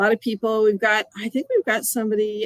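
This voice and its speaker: With a slight Canadian accent, a woman speaks at a fairly high pitch in a dry, close sound with no echo. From US and Canada. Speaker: quilting educator. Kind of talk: live stream demo chat. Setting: live video stream.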